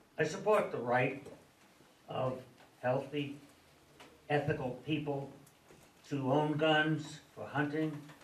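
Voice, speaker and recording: Very slow speech with long, frequent pauses, fairly even intonation and audible room echo. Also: man, fairly high pitch for a man. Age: 80s+. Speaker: resident speaking at public comment. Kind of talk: public comment at town board meeting. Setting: town board meeting room with crowd.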